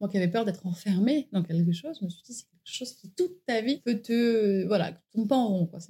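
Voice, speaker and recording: With hardly any pauses, a woman of medium pitch talks at a fairly quick pace, her somewhat breathy, dark, mellow tone carrying lively intonation. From southern France, Var. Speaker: naturopath. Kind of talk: interview. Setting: at her home.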